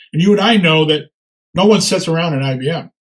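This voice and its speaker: A man talks with lively intonation at a fairly quick pace. His pitch is high. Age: 70s. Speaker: retired operations professional and presenter. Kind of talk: webinar Q&A. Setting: webinar. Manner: halting.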